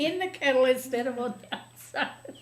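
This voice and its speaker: Through noticeable background noise comes a woman's high-pitched voice. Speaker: retired teacher, librarian and storyteller. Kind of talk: interview answer.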